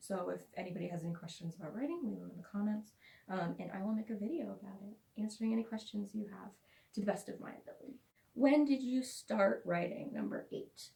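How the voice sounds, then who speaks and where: A somewhat breathy woman at a fairly quick pace, lively intonation broken by long, frequent pauses. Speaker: author. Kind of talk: casual talk to camera.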